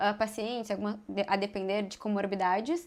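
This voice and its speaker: With a southern Brazilian accent, a woman speaks at a fairly quick pace and a fairly high pitch. Her intonation is fairly even, and the recording is very clean with a silent background. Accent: southern Brazilian, mistaken for gaúcha. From Santa Catarina, Brazil (west, small town). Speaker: gynecologic oncology surgeon. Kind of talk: podcast interview, medical explanation.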